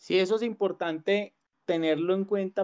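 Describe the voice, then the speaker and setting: A plain, everyday voice moves at a moderate pace with ordinary pitch variation, and the sound is dry and close with no echo. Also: man. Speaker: podcast host. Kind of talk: casual chat.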